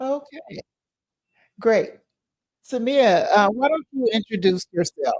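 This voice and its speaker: Very slow delivery with lively intonation, long, frequent pauses and a dry, close sound with no echo. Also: woman, high pitch for a woman. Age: 60s. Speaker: podcast host. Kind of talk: casual live podcast chat. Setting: live online stream. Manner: halting, many fillers.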